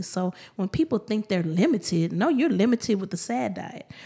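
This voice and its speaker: A woman speaks at a moderate pace. Her tone is animated and her intonation lively. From Houston, Texas (Third Ward). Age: 40s. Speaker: hairstylist. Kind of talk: testimony.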